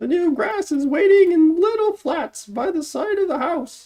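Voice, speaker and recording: A woman puts on a squeaky character voice at an extremely high pitch. Her intonation is lively and her pace moderate. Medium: read story. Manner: brisk, plainspoken.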